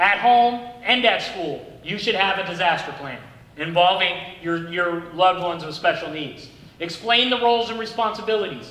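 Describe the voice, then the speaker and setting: In a raised, projected voice, a man speaks at a high pitch with big swings in loudness. Audible room echo and noticeable background noise fill the recording. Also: ordinary pitch variation. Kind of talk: training presentation. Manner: fast.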